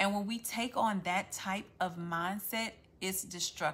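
Speaking in a Louisiana accent at a fairly slow pace, a woman has a bright, sharp tone, a medium pitch, and ordinary pitch variation. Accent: Southern US (Louisiana). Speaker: faith-based content creator. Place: home room. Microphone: phone near.

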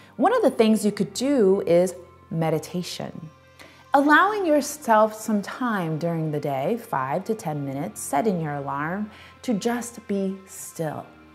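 Faint music sits in the background as a woman speaks at a fairly slow pace. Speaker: speaker. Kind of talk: inspirational talk to camera. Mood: warm, encouraging. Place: home room. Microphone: lapel.

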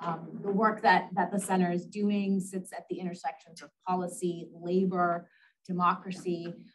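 Music plays in the background. A woman speaks at a moderate pace with fairly even intonation. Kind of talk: welcome speech. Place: meeting room. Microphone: podium.

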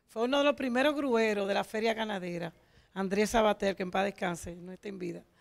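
Over a quiet background, a woman with a medium pitch talks at a fairly quick pace, her pitch varying in an ordinary way while her loudness swings widely. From Dominican Republic. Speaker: truck and heavy equipment driver; guest. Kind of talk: TV interview. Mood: warm, nostalgic. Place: studio. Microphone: handheld.

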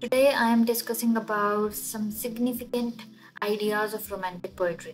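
With music in the background, a woman speaks in a non-native accent with monotone, flat intonation. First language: not English. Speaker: literature lecturer. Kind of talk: educational lecture.

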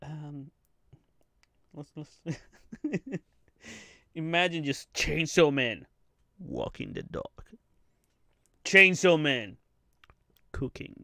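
With long, frequent pauses, a man talks at a very slow pace in a fairly high pitch, his bright, sharp tone carrying lively intonation.

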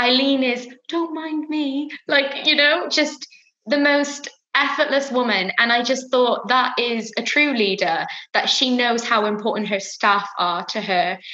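A woman with a Welsh accent speaks at a fairly slow pace in a high voice with lively intonation, the quiet background carrying audible room echo. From Wales. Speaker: fashion brand founder. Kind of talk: interview. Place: home room. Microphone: webcam.

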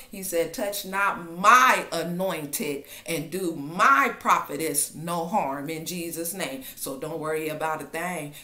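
A woman speaks at a fairly slow pace with ordinary pitch variation, and audible echo from the room surrounds her. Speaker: online prophetic minister. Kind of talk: fervent prophetic exhortation, declaring God's protection over listeners. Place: home room. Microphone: webcam.

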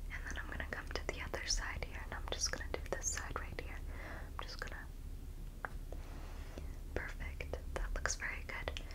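Whispering and soft-spoken, the speaker keeps a moderate pace broken by long, frequent pauses. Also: woman. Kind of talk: soft role-play talk to the viewer. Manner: soft semi-audible ASMR whisper.

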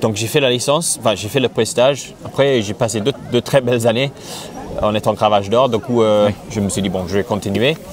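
A man with an English accent talks fairly fast, his pitch varying in an ordinary way. The sound is dry with no echo, with light noise in the background. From England. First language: English (speaking French). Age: 30s. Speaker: jockey; interviewee. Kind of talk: interview. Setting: outdoors. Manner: halting. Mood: relaxed, enthusiastic. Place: open country. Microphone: lapel.

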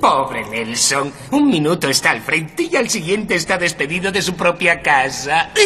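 This put-on character voice sits at a middle pitch and runs with hardly any pauses. Clear background noise is audible. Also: moderate pace. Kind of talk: horror host showmanship. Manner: gleeful, punning, macabre.

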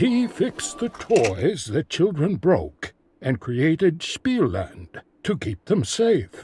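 Moving at a very slow pace, a man speaks at a fairly high pitch with very wide pitch swings. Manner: jovial, teasing.

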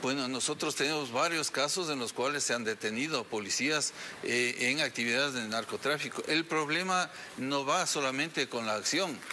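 Against light background noise, a man with a fairly high pitch talks at a moderate pace, with ordinary pitch variation and very even loudness. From Ecuador. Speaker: police general; interviewee. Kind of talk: TV interview. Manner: hesitant, many fillers. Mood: serious, firm. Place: studio.

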